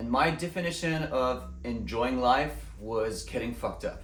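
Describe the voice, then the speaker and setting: Speaking at a fairly slow pace, a man comes through over noticeable background noise. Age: 30s. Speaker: musician. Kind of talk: personal story told to camera.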